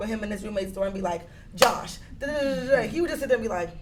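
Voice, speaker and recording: Lively intonation marks a woman's speech, heard with audible room echo and noticeable background noise. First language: not English. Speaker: panelist. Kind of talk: casual chat. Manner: talkative.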